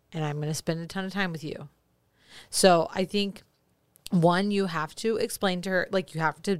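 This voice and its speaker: In an unremarkable speaking voice, a woman talks fairly quickly at a fairly low pitch with fairly even intonation. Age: 30s. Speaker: podcast co-host. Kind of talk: casual chat.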